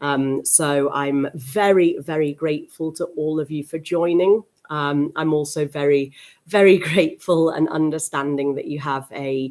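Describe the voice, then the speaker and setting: In a British accent, a woman speaks at a fairly slow pace with a very deep, low pitch and fairly even intonation. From UK. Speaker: teacher trainer. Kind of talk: webinar presentation. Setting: live stream webinar. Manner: hesitant with many fillers.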